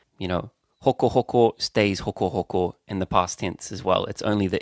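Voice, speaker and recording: With a New Zealand accent, a man speaks at a moderate pace with fairly low pitch and fairly even intonation, the sound dry and close with no echo on a very clean recording with a silent background. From New Zealand, Auckland. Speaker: podcast co-host. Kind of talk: language lesson. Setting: at home.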